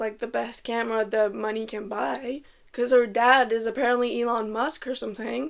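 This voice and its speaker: A woman with a French Canadian accent speaks fairly quickly in a high voice with fairly even intonation, on a very clean recording with a silent background. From Quebec, French Canada. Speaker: YouTuber, movie commentator. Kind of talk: casual movie commentary. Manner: casual, filler-heavy.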